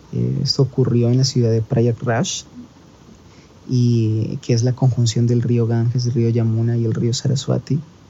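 Monotone, flat male delivery at a fairly slow pace, very even in loudness, with noticeable background noise. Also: medium pitch for a man. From Colombia. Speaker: traveler. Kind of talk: storytelling monologue. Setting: recording from India.

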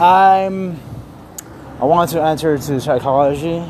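The man's pitch is fairly high. Noticeable background noise runs under his voice. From Mexico. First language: Spanish. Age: 20s. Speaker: podcaster and theater artist. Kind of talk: casual monologue. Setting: walking outdoors in the street. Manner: rambling, halting with fillers.

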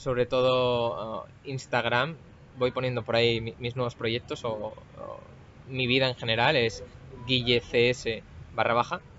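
Noticeable background noise runs beneath a man who talks very slowly. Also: long, frequent pauses. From Spain, Asturias. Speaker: cybersecurity professional. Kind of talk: interview conversation. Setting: recorded in person in Bali. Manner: hesitant, many fillers and repeats.

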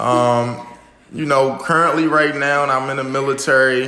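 With a Baltimore accent and fairly even intonation, a man speaks amid noticeable background noise and audible room echo. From US, Baltimore, Maryland. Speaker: military medic and forex trader. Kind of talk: podcast interview. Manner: casual, with filler words.

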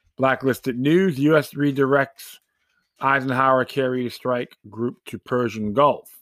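On a very clean recording with a silent background, a man talks at a fairly slow pace and medium pitch in a normal speaking voice, his intonation fairly even. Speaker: podcast host. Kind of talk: angry political rant. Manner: sarcastic, indignant; informal, rambling, with fillers.

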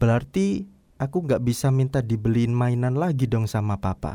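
Very clean and silent in the background, the recording has a man speaking at a medium pitch and moderate pace with ordinary pitch variation and a dark, mellow tone. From East Java (Surabaya/Sidoarjo). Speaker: podcaster. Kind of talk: personal storytelling monologue. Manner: casual, with filler hesitations.

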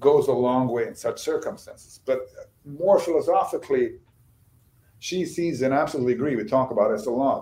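A man talks fairly quickly. He has a Bosnian accent. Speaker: novelist and screenwriter. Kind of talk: interview.

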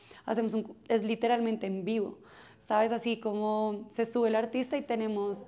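A woman talks at a fairly quick pace with a fairly high pitch. Her tone is dark and mellow, and her intonation is monotone and flat. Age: 30s. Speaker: music festival marketing executive. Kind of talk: interview. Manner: halting.

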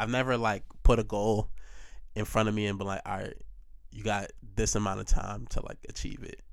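With audible room echo, a man speaks at a fairly quick pace, his loudness swinging widely, broken by long, frequent pauses. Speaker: podcast host. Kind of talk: casual solo chat.

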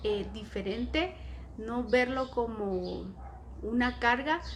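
A woman talks very slowly, her words carrying audible room echo. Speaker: inclusive educator. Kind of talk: casual chat. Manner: loud.

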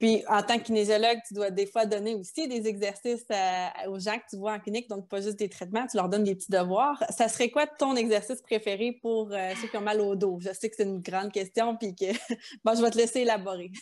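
A woman's fairly high voice at a fairly quick pace, with fairly even intonation. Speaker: podcast host, kinesiologist. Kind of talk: interview.

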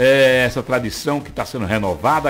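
A man's speech moves fairly quickly with ordinary pitch variation. Behind it, the background noise is noticeable. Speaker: radio host. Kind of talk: morning radio show.

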